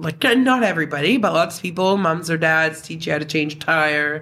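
A woman with an Atlantic Canadian accent talks at a fairly slow pace in a very deep, low pitch. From New Brunswick, Canada. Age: 30s. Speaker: former youth in care. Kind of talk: casual interview.

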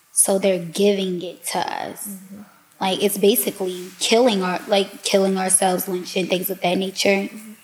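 Against noticeable background noise, a woman with an American accent speaks at a moderate pace and medium pitch in a monotone, flat intonation. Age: 20s. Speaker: psychology student. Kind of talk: casual chat. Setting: studio.

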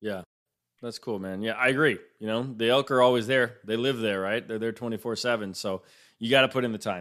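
This man uses a normal speaking voice at medium pitch. He keeps a moderate pace and fairly even intonation. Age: 30s. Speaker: podcast host. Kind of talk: casual interview chat. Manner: casual, with filler words.

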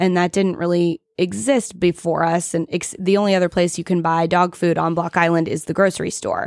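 A woman with an unremarkable speaking voice and an American accent talks at a fairly quick pace with hardly any pauses, fairly low pitch and fairly even intonation, in a dry, close sound with no echo. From US South, Augusta, Georgia. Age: 30s. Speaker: dog shop owner. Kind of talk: casual interview.

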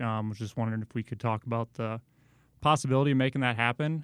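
The very clean recording, with a silent background, captures a man speaking at a medium pitch. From Iowa. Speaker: basketball coach. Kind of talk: interview. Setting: studio.

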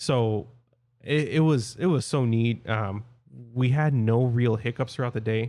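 A man's medium-pitched voice with a dark, mellow tone, fairly slow pace, very even loudness, and ordinary pitch variation. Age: 20s. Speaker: podcast host. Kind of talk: casual chat. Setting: remote recording.

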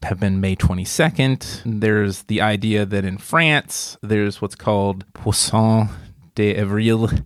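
A man speaks at a fairly slow pace in a Southern US accent with a fairly low pitch. The recording is very clean, with a silent background. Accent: southern twang. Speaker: podcast host and university staff. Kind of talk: casual chat.

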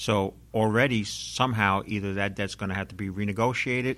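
A man with a normal speaking voice and fairly low pitch speaks at a moderate pace. The recording is very clean, with a silent background. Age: 50s. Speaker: financial author and investment expert. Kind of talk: interview.

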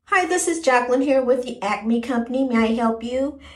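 A woman's put-on character voice, high-pitched and at a fairly quick pace. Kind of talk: proper, professional.

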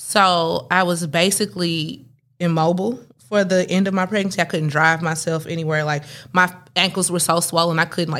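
A normal speaking voice from a woman, fairly low in pitch, at a moderate pace on a very clean recording with a silent background. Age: 30s. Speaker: doula. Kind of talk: casual chat. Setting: studio.

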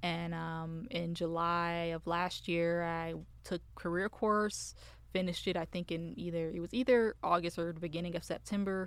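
On a very clean recording with a silent background, a woman with an American accent speaks at a moderate pace in an ordinary speaking voice. Her pitch is fairly low and her intonation fairly even. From Michigan, US. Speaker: business development representative in tech sales. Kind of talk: casual interview.

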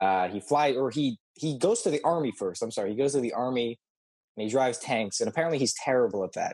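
A man with an American accent, very fast pace and lively intonation, in a dry, close sound with no echo. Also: medium pitch for a man. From California. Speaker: podcast co-host. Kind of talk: casual chat.

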